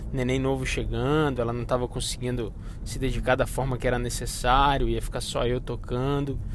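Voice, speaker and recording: Speaking at a fairly quick pace, a man is heard with audible echo from the room. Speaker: podcast host, finance director. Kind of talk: casual monologue. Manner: informal, filler-heavy.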